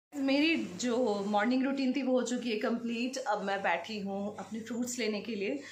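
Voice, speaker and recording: Audible room echo surrounds a woman whose pitch is fairly high. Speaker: lifestyle vlogger. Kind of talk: casual vlog talk to camera.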